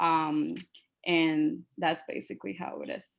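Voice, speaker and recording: A fairly slow delivery in a Spanish accent, on a very clean recording with a silent background. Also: woman. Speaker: teacher. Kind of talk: panel presentation. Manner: halting.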